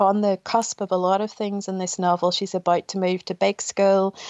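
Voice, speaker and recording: The speech runs at a fairly quick pace with monotone, flat intonation. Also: woman. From Northern Ireland, Ballymena, County Antrim. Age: 40s. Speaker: novelist. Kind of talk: radio interview.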